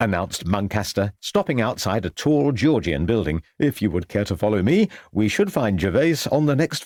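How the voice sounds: Reading aloud in a natural voice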